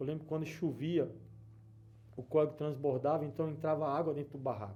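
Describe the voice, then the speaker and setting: A man speaks with a northeastern Brazilian accent, his pitch fairly high. His pace is moderate and his intonation fairly even. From Brazil, Alagoas (Northeast). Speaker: businessman giving church testimony. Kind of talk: testimony. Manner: hesitant, with fillers and repetitions.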